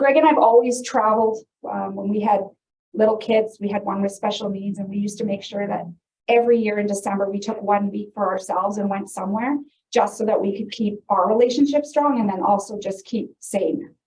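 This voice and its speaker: A woman talks in a somewhat breathy, medium-pitched voice with a Canadian accent. Her intonation stays fairly even. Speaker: realtor and real estate investor. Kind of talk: seminar presentation. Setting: presentation room with live audience, filmed. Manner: casual, conversational.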